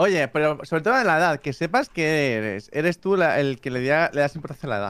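Here is a man with an ordinary speaking voice and fairly high pitch. He moves at a fairly quick pace with lively intonation. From Spain, Barcelona. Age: 30s. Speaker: YouTuber. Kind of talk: casual chat.

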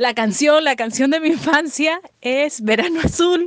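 A woman is speaking. Her intonation is lively. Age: 40s. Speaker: former schoolmate. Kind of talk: recorded personal reminiscence.

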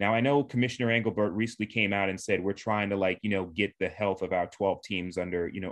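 A man with an American accent talks at a fairly quick pace in a fairly low pitch. He has a plain, everyday voice with ordinary pitch variation. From Long Island, New York (Suffolk County). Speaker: sports writer. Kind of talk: casual interview.

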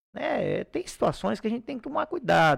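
On a very clean recording with a silent background, a man with a high pitch talks very fast. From Acre, Brazil (Xapuri). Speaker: police chief, former public security secretary. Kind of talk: interview.

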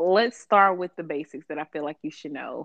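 Ordinary pitch variation at a fairly quick pace. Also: woman. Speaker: podcast co-host. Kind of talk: casual chat.

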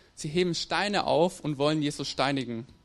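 The man's voice is fairly high in pitch and varies in an ordinary way. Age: 20s. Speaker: theology student. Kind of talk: sermon. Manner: halting.

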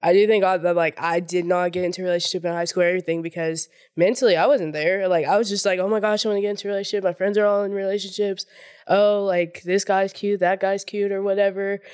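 On a very clean recording with a silent background, a woman speaks very fast at medium pitch with monotone, flat intonation. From Oklahoma, US. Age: 20s. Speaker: therapist. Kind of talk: casual chat. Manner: halting.

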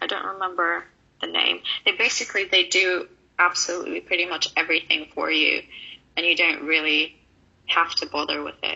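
Long, frequent pauses break up this woman's speech. She talks at a fairly quick pace with a Russian accent. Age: 20s. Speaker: online fitness coach and student. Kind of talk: interview.

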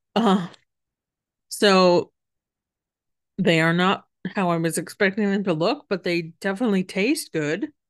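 With a Canadian accent, a woman speaks at a fairly slow pace and fairly even intonation over a quiet background. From Western Canada. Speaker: podcast host. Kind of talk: casual solo podcast chat. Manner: hesitant, many fillers.

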